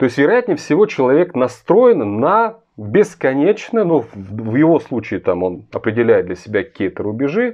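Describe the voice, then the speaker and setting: Against a quiet background, a voice with vocal fry moves at a moderate pace through very wide pitch swings. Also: man, fairly high pitch for a man. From Russia. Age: 40s. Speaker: political commentator. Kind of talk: video monologue. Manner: earnest. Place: home room. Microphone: phone near.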